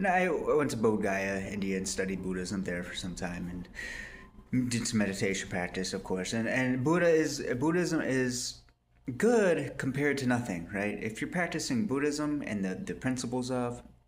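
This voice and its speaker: Audible room echo surrounds a man of medium pitch whose voice makes very wide pitch swings. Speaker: religious video blogger. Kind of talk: casual monologue. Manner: fast; animated.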